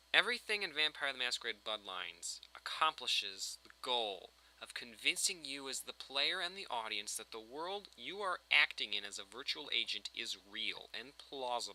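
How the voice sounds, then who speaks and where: Vocal fry in a man's fairly high voice, very wide pitch swings, a moderate pace and hardly any pauses. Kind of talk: video game critique commentary. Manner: unscripted, meandering.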